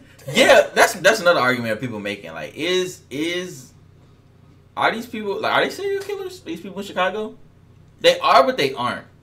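With big swings in loudness, a man speaks at a fairly quick pace. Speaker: reaction channel host. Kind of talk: casual reaction chat. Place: home room.

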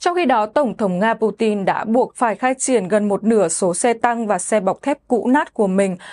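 A woman with an unremarkable speaking voice talks at medium pitch and a moderate pace with ordinary pitch variation. The sound is dry and close with no echo, over a quiet background. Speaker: news presenter. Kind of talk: news reading. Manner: formal.

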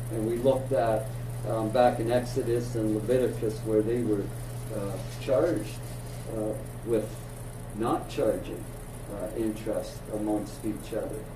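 A man's flat, monotone speech with long, frequent pauses over noticeable background noise. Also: fairly slow pace. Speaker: Bible class teacher. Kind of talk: lecture. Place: classroom.

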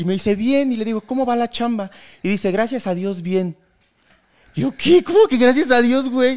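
A man talks at a fairly quick pace, and the background is quiet. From Mexico, Querétaro; Mexico. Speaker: comedian; podcast guest, comedian. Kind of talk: casual chat. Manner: halting. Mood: joking, animated storytelling. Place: studio. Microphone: studio mic.

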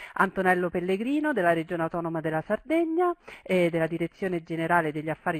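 Her pitch is fairly low for a woman. The sound is dry with no echo, over a quiet background. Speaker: webinar host or moderator. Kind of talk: webinar introduction. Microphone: headset.

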